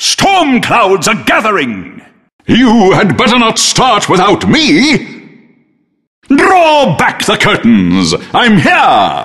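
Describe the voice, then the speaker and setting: This is a put-on character voice. Words come out very slowly. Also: man, high pitch for a man. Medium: video game.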